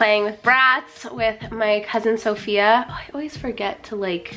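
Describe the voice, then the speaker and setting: Amid noticeable background noise, a woman with a fairly high voice speaks at a fairly slow pace with fairly even intonation. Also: big swings in loudness. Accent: Southern Californian. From California. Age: 20s. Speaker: fitness influencer, personal trainer. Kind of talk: casual get-ready-with-me vlog. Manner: casual, filler-heavy ('like', 'um').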